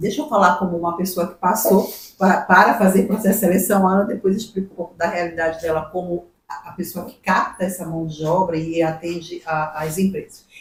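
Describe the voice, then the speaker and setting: A woman with an ordinary speaking voice and medium pitch talks at a fairly quick pace with fairly even intonation and big swings in loudness. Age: 60s. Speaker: human resources professional. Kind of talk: podcast interview.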